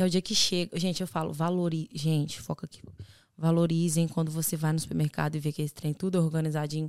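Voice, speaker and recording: Very fast and flat in a monotone, a woman's very deep, low voice comes through dry and close, with no echo. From Brazil, Belo Horizonte. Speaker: podcast co-host, exchange student. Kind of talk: casual chat.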